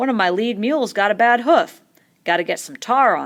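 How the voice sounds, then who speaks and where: A female-sounding voice puts on a growling character act at a fairly high pitch. The pace is fairly quick. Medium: read story. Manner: calm, laconic.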